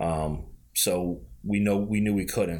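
With an American accent and ordinary pitch variation, a man speaks amid audible room echo. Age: 30s. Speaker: basketball card collector. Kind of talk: casual chat.

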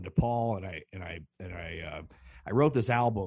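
A somewhat breathy man in an American accent speaks at a moderate pace. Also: quiet background. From Chicago. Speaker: caller, musician and DJ. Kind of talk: call-in chat.

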